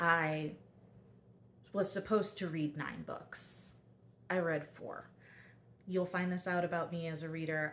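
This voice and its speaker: With an American accent, the speaker uses a plain, everyday voice at a fairly slow pace. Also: woman. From US Mid-Atlantic, southern Delaware. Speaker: book vlogger. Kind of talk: casual vlog talk. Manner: casual, conversational with fillers.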